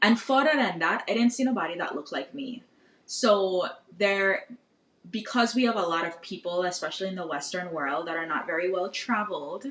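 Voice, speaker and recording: In a Virgin Islands accent, a woman speaks at a fairly quick pace with lively intonation. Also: medium pitch for a woman. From US Virgin Islands, St. Thomas. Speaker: podcaster and social media history creator. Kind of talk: podcast interview. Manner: casual, conversational.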